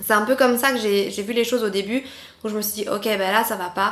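Her pitch is medium for a woman. Noticeable background noise and audible room echo come through the recording. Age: 20s. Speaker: patient sharing illness experience, former midwife. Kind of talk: interview testimony.

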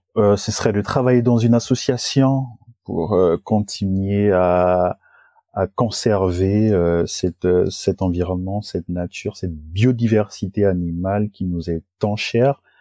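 Very slowly, a man speaks in a fairly low, dark, mellow voice with ordinary pitch variation. The recording is very clean, and the background is silent. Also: dry, close sound with no echo. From Gabon. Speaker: ecology engineer. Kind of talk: interview. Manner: hesitant, many fillers and repetitions.

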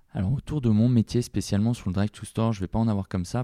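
Fairly quick and dark, mellow in tone, a man's voice comes through a very clean recording with a silent background, dry and close with no echo. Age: 20s. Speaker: digital marketing manager. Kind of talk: interview. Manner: hesitant, many fillers.

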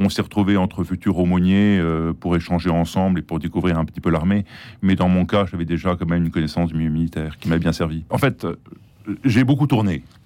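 Very deep, low, dark and mellow voice of a man at a fairly quick pace with ordinary pitch variation. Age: 60s. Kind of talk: interview. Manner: halting.

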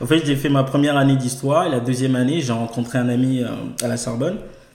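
A man speaks at a fairly quick pace and medium pitch, with fairly even intonation. Audible room echo surrounds the voice. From Togo. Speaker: entrepreneur. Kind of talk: interview.

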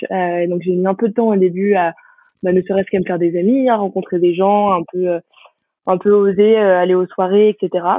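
A woman speaks with monotone, flat intonation. Her pace is moderate. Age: 20s. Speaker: business school student. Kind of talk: interview.

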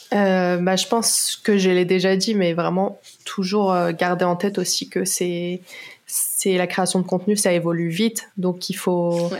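A woman's medium-pitched voice, fairly slow, in a flat monotone. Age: 20s. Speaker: UGC content creator. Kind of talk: podcast interview. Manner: hesitant, many fillers.

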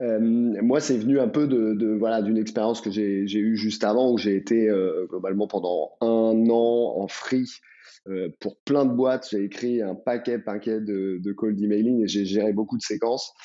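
A man speaks at a fairly slow pace with a fairly low pitch. He has a normal speaking voice. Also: fairly even intonation. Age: 30s. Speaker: startup co-founder. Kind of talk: casual interview.

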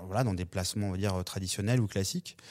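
This man has a plain, everyday voice, fairly low in pitch, with fairly even intonation. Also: very clean recording, silent background. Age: 40s. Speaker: crypto startup co-founder. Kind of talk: interview.

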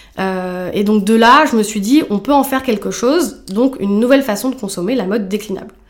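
The speaker has an unremarkable speaking voice with ordinary pitch variation. The recording is very clean, with a silent background. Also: woman, fairly high pitch for a woman, fairly quick pace. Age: 30s. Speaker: fashion brand founder. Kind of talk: interview.

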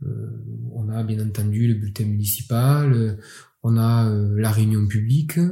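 A man with a Catalan accent speaks at a medium pitch in a dark, mellow, somewhat breathy tone, at a fairly slow pace. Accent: Catalan southern French. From French Catalonia, Perpignan. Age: 40s. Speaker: mayor. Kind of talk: interview. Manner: hesitant, many fillers.

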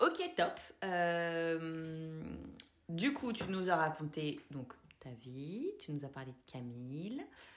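A woman with a fairly low pitch speaks very slowly with lively intonation and big swings in loudness, and the room echo is audible. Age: 30s. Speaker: podcast host. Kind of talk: casual interview.

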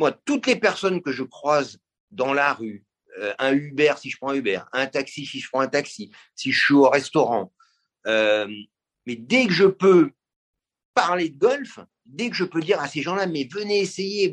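Speaking at a fairly slow pace with long, frequent pauses, a man uses a fairly high pitch and an animated tone. His pitch swings very widely, and his loudness rises and falls in big swings. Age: 50s. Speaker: golf brand director. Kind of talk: interview. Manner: halting.

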